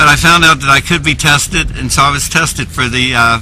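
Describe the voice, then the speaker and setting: A man's medium-pitched voice at a fairly quick pace, with noticeable background noise. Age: 70s. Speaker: public commenter. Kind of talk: public testimony.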